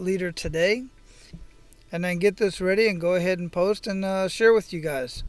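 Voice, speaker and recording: A man's high-pitched voice at a moderate pace, with fairly even intonation and music in the background. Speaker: podcast host. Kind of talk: podcast intro monologue. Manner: casual.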